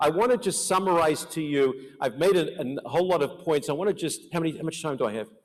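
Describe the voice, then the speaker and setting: An American-accented man talks very fast with hardly any pauses. His pitch is fairly high, with ordinary variation. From Australia (Melbourne). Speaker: life insurance and financial planning expert, conference speaker. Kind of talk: conference presentation. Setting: conference hall with audience.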